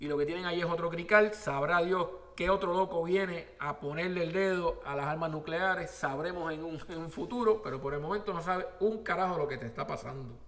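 A man talks at a fairly quick pace with hardly any pauses, his pitch high and its variation ordinary. Noticeable background noise and audible room echo are present. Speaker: podcast host. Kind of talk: opinionated news commentary monologue. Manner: animated.

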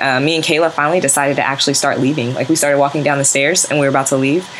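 Very fast speech in a fairly even intonation over noticeable background noise. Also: woman. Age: 20s. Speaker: podcast host. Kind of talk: casual banter chat.

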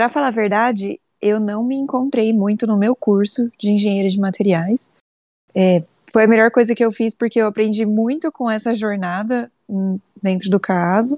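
Here a woman talks in an ordinary speaking voice at a moderate pace. Her pitch is fairly high, with ordinary variation. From Brazil, São Paulo state interior (Sertãozinho). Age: 20s. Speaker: engineer and business analyst. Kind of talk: interview.

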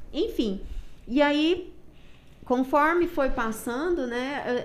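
A woman speaks very slowly with lively intonation, her voice carrying audible room echo. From Brazil, Minas Gerais. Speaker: CrossFit gym owner and coach. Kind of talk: casual chat.

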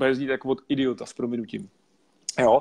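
A man with an unremarkable speaking voice talks at a fairly quick pace and medium pitch, the sound dry and close with no echo. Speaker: network marketing entrepreneur. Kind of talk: interview.

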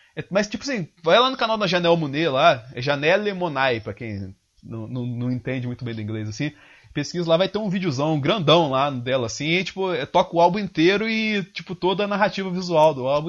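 A man's high pitch with very wide pitch swings, at a fairly quick pace. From southern Minas Gerais, Brazil. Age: 20s. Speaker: systems analyst and video editor. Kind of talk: casual interview.

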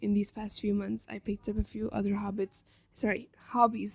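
Recorded dry and close with no echo, a woman speaks at a fairly quick pace. Her tone is dark and mellow and somewhat breathy. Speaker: solo podcast host. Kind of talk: scripted monologue.

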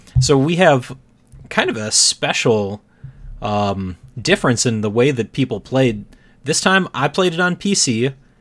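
A man speaks at a fairly slow pace in a medium pitch, with long, frequent pauses. His pitch swings very widely. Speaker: podcast host. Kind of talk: casual chat about video games. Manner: jokey, laughs often.

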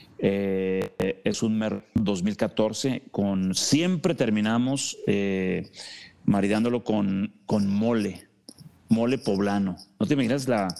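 Dark and mellow in tone, a man's fairly low voice moves at a very slow pace with ordinary pitch variation. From Mexico, Ensenada, Baja California. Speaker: winemaker. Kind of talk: casual interview.

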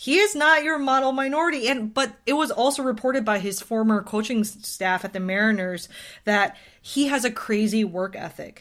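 Here is a woman with an ordinary speaking voice and a fairly high pitch. She speaks at a moderate pace with lively intonation. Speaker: baseball podcast co-host. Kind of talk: casual chat.

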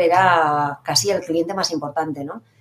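A fairly quick pace with ordinary pitch variation over noticeable background noise. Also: woman. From Basque Country, Irún. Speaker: hotel director. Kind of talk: interview. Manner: animated.

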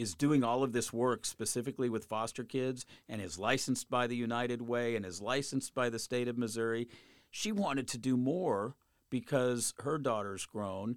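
An unremarkable speaking voice with an American accent at a moderate pace, ordinary pitch variation, and a very clean, dry, close recording with no echo and a silent background. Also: man. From Colorado. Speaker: newspaper columnist. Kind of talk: interview.

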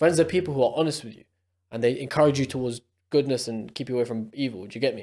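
A man with a London accent speaks at a very fast pace in a medium-pitched, dark and mellow voice, with ordinary pitch variation and big swings in loudness. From UK. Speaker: podcast co-host. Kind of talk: casual chat. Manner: energetic.

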